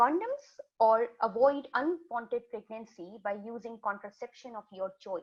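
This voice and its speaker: A woman with a Pakistani accent speaks at a moderate pace with lively intonation. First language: Urdu. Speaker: community health worker. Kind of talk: webinar presentation. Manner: halting.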